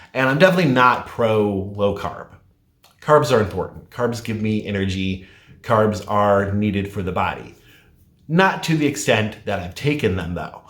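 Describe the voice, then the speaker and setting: Moderate pace and fairly low pitch from a man, with audible room echo. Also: ordinary pitch variation. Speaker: weight loss vlogger. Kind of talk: casual vlog talk.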